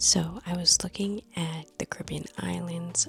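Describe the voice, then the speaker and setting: A woman whispers at a very slow pace. Music plays in the background. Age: 30s. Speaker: lifestyle vlogger. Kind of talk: casual vlog chat. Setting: at home at night. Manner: whispering.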